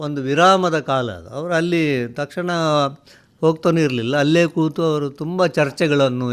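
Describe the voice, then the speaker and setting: With ordinary pitch variation, a man speaks in a normal speaking voice that sits fairly high in pitch. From coastal Karnataka, Udupi district (Karkala). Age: 60s. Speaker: writer and retired college principal. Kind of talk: radio interview.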